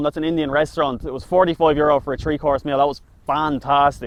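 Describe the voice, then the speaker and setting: At a very fast pace, a man with a Dublin accent talks with a fairly high pitch. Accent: Dublin Irish. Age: 20s. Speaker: food reviewer. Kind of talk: casual chat.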